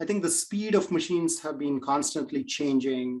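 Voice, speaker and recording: With an Indian accent, a man talks at a fairly quick pace. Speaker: AI and machine learning expert. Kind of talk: webinar Q&A. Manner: many fillers and hesitations.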